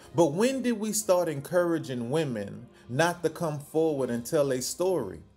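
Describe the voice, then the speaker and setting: A man speaks at a fairly slow pace. Faint music sounds in the background. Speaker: news commentator. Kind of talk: commentary. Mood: indignant, critical. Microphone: phone near.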